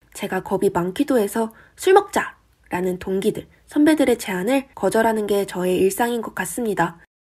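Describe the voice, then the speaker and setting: This is a normal speaking voice with lively intonation. It moves at a moderate pace. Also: woman. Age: young. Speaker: YouTuber and university student. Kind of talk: scripted vlog monologue.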